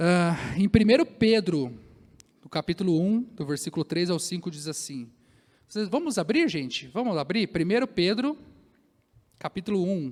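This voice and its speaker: A man's high-pitched, lively voice at a moderate pace, with big swings in loudness and long, frequent pauses. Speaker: pastor. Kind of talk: sermon. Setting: church.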